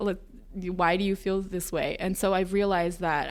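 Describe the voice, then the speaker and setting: On a very clean recording with a silent background, a woman with a plain, everyday voice speaks fairly quickly at a medium pitch, her intonation fairly even. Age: 20s. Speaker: wellness center staff member. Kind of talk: casual podcast interview.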